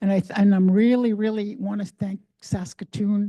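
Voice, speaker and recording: A woman's dark, mellow, somewhat breathy voice with fairly even intonation. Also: quiet background. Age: 70s. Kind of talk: public forum address. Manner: halting, frequent repetitions.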